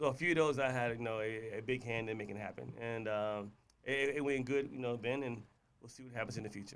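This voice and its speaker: Speaking at a very fast pace, a man keeps fairly even intonation at a medium pitch. His loudness swings widely. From US, military upbringing (Hawaii, California, DC area). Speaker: entrepreneur. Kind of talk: podcast interview. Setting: studio. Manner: words sometimes slur.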